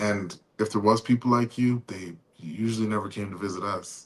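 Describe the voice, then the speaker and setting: The voice belongs to a man. Its pitch shifts in an ordinary way. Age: 40s. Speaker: podcast host. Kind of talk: podcast interview.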